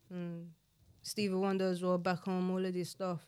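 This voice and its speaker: The recording is very clean, with a silent background. A woman speaks at a moderate pace and medium pitch. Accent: South London. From South East London, Nigerian heritage. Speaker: rapper. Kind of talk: casual chat.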